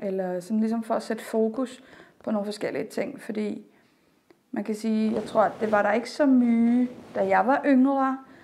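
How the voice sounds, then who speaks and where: At a fairly slow pace, a woman talks at a fairly high pitch with ordinary pitch variation. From Denmark. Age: 30s. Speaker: drama student and trained sexologist. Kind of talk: interview. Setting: on camera. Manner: hesitant, many filler sounds.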